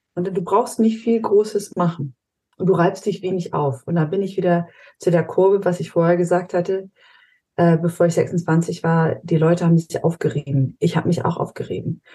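This woman has a fairly low pitch and a dark, mellow tone that is somewhat breathy. She talks at a moderate pace with fairly even intonation. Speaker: high impact coach and strengths trainer. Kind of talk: casual interview chat. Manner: blunt, short and snappy.

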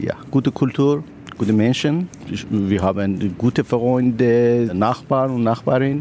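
Speaking with a Persian accent, a man keeps a fairly slow pace, a medium pitch, ordinary pitch variation and very even loudness. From Iran. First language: Persian (speaking German). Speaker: construction manager. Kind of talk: street interview. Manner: halting.

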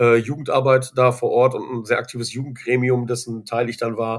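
A man's medium-pitched voice at a moderate pace. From Germany, Ruhr area (Dorsten). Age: 30s. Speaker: school coach and kung fu teacher. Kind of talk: interview, personal faith story. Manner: halting, many fillers and repetitions.

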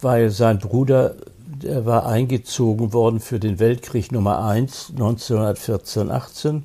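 A man talks at a very slow pace with a dark, mellow tone and a somewhat breathy quality. His medium pitch shows ordinary variation. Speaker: film critic, actor and retired prosecutor. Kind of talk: interview reminiscing about his career. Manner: halting, with many repetitions and restarts.

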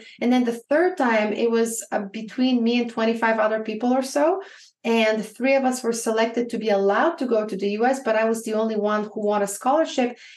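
A woman with a Bulgarian accent and a fairly high pitch talks at a fairly quick pace with ordinary pitch variation. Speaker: business coach. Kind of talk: interview.

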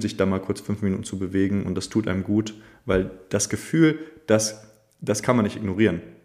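At a moderate pace, a man talks in an unremarkable speaking voice. His pitch is fairly low, with fairly even intonation. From northern Germany, Schleswig-Holstein. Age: 20s. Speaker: movement teacher. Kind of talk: casual interview.

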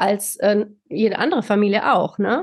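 The recording of a woman's voice is dry and close, with no echo. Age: 40s. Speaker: psychological counsellor, co-parenting expert. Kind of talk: interview.

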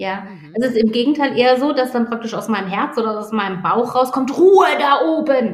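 A woman speaks at a moderate pace and fairly high pitch, with hardly any pauses. Her pitch swings very widely and her loudness shifts a lot. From Baden, southwestern Germany. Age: 50s. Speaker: executive coach. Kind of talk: interview.

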